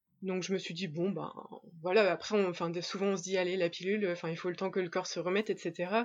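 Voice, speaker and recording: A woman speaks at a medium pitch. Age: 30s. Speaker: interview guest sharing infertility story. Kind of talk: testimony. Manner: hesitant, many fillers.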